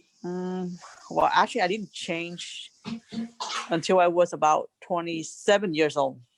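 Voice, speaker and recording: A woman's fairly slow speech with a Vietnamese accent and long, frequent pauses. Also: fairly low pitch for a woman. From Vietnam, rural village. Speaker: refugee, interviewee's mother. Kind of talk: casual family interview. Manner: animated, outspoken.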